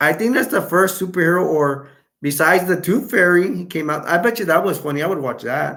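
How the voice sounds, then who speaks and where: Amid audible room echo, a man with a high pitch and a bright, sharp tone speaks in an animated tone at a fairly quick pace with ordinary pitch variation. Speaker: YouTube live streamer. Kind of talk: casual live-stream chat.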